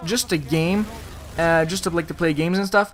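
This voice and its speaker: A man speaks in a French Canadian accent. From Quebec, Montreal. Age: 20s. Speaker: gaming commentator. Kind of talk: gameplay commentary Q&A. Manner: casual, filler-heavy.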